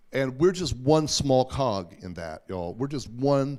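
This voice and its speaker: An animated man with an American accent, medium-pitched with very wide pitch swings, at a fairly slow pace on a very clean recording with a silent background. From Oklahoma. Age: 60s. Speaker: journalist and news publisher, former pastor. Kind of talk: talk and Q&A at Sunday school. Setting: church hall with audience.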